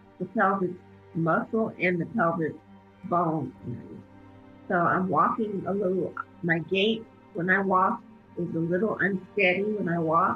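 Faint music plays in the background as a woman talks with ordinary pitch variation and long, frequent pauses. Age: 50s. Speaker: cancer patient. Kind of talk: interview answer. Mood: calm, earnest, reflective. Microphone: phone near.

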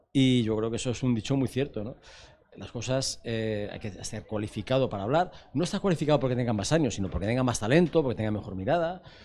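A man's very fast, lively speech in a dark, mellow tone, with light background noise. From Spain. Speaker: film TV program director; interviewee. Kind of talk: interview. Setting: festival set. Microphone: handheld.

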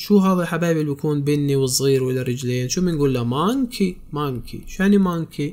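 A man speaks fairly quickly, with hardly any pauses. His voice is fairly high, with ordinary pitch variation. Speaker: English tutor. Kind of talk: tutorial.

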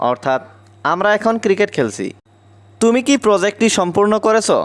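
The recording is dry and close, without any echo. The voice belongs to a man. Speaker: English teacher. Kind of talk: language lesson.

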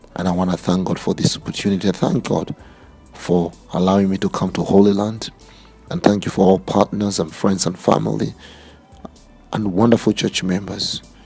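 A man's very deep, low pitch at a fairly quick pace, with fairly even intonation and faint music in the background. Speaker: preacher. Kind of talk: religious address to viewers. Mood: fervent, emotional. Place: open country. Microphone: phone near.

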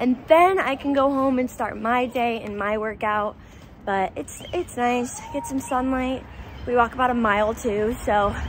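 A woman with a high pitch, dry sound with no echo, and light background noise. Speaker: lifestyle vlogger. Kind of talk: casual vlog chat. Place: street. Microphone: phone near.

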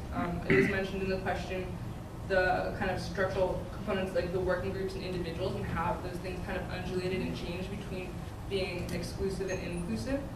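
A woman speaks with an American accent in a room with audible echo. Loud background noise runs behind her. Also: fairly quick pace. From Maryland, between DC and Baltimore. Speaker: activist and art student. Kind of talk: panel discussion. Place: classroom.

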